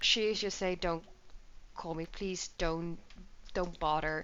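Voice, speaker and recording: The speaker is a woman. She talks with a Dutch accent. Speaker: gaming YouTuber. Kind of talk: gameplay commentary. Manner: casual, filler-heavy.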